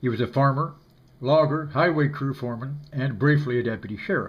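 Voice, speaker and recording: A man's somewhat breathy voice at medium pitch, fairly quick in pace and fairly even in intonation. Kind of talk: spoken introduction to oral history recording.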